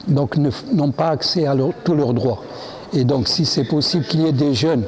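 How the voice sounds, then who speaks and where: There is noticeable background noise behind a man speaking at a fairly high pitch. His loudness stays very even. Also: ordinary pitch variation, moderate pace. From Morocco. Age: 70s. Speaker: immigrant rights activist. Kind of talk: interview. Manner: halting.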